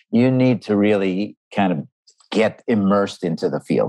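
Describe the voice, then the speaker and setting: Here a man speaks in a Canadian accent with a fairly low pitch. It is a normal speaking voice, delivered at a moderate pace. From Canada, Montreal. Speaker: business professor. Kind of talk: interview.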